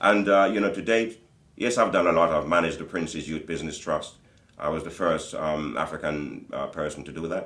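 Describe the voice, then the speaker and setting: A man keeps a fairly quick pace amid audible room echo. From Jamaica, raised in Britain (London). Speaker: community business leader and singer. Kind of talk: interview. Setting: studio.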